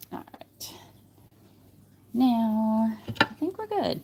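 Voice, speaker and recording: A woman speaks in a relaxed tone on a very clean recording with a silent background. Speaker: polymer clay artist livestreamer. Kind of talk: live crafting tutorial. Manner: thinking out loud, mumbling; casual, relaxed.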